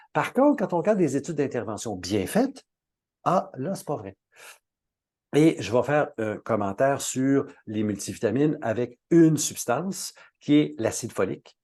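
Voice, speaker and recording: Man with a Quebec accent, fairly high pitch and a dark, mellow tone, very wide pitch swings, moderate pace with long, frequent pauses, quiet background. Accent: Québécois French. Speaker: natural health expert. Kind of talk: webinar talk. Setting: online webinar.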